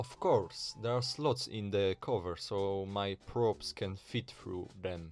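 Over music in the background, a man with a Polish accent speaks at a very slow pace, his fairly low pitch showing ordinary variation. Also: hardly any pauses. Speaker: retro tech hobbyist. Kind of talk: casual tech video narration. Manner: hesitant, with filler sounds.

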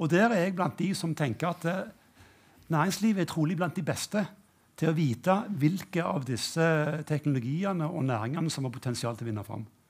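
A man with an unremarkable speaking voice, fairly high-pitched, with lively intonation at a moderate pace. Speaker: university rector and economics professor; economics professor. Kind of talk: panel discussion. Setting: stage with audience. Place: stage. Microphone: headset.

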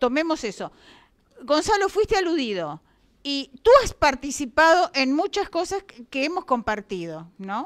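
Against a quiet background, a woman speaks at a high pitch and a fairly slow pace. Her pitch swings very widely. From Uruguay. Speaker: debate moderator. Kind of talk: moderating a public debate. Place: meeting room. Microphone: handheld.

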